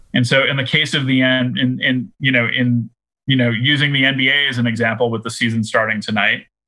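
A plain, everyday voice with an American accent moves at a fairly quick pace in fairly even intonation. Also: man, medium pitch for a man. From Boston, US. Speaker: head of marketing at a trading card company. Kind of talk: podcast interview.

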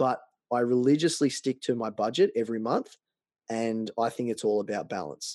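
The voice has an Australian accent and a dark, mellow tone, moving at a fairly quick pace with ordinary pitch variation. The sound is dry and close with no echo, over a quiet background. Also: man. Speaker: personal finance blogger. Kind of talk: interview.

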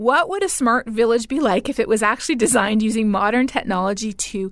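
Fairly high in pitch, a woman with a Canadian accent talks at a fairly quick pace in a normal speaking voice. Her pitch variation is ordinary. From Canada. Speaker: climate scientist and professor. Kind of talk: interview.

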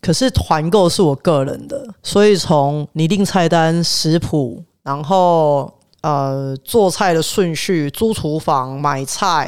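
Very slowly, a man speaks with a fairly high pitch. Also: ordinary pitch variation. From Taiwan, south. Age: 30s. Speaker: chef. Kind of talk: casual chat. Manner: animated.

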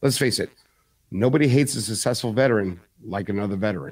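A man with an American accent and a fairly low pitch uses a normal speaking voice at a fairly quick pace with ordinary pitch variation, on a very clean recording with a silent background. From New York (Bronx) and New Jersey. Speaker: Marine veteran, podcaster. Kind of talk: casual chat.

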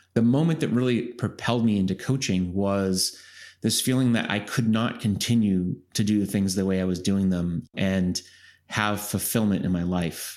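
A man speaks at a fairly low pitch with ordinary pitch variation. His loudness stays very even on a very clean recording with a silent background. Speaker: executive coach and author. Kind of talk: interview. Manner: deliberately slow, calm pace.

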